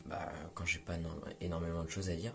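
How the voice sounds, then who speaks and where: A man at a fairly quick pace. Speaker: film critic YouTuber. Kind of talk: film review monologue. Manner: halting, many fillers.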